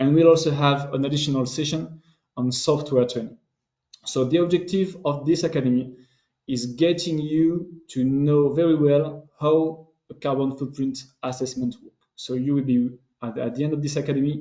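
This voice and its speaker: A man with a French accent speaks in a fairly even intonation. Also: fairly high pitch for a man, moderate pace. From France. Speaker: business development manager. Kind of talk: webinar presentation. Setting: online webinar. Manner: halting, many fillers.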